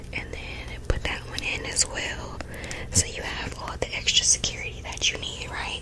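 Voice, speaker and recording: A woman whispering at a fairly slow pace amid noticeable background noise. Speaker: wig reviewer. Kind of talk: ASMR product demonstration. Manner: soft-spoken.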